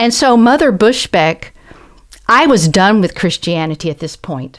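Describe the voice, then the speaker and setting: A woman with a Southern US accent speaks at medium pitch with lively intonation on a very clean recording with a silent background. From US South. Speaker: professor and translator. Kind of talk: interview conversation.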